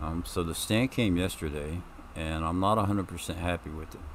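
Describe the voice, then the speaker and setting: With audible room echo, a man speaks in a very deep, low voice with ordinary pitch variation. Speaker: gaming streamer. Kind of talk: gameplay commentary. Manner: loud; hesitant, many ums. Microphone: new mic stand, mic moved closer.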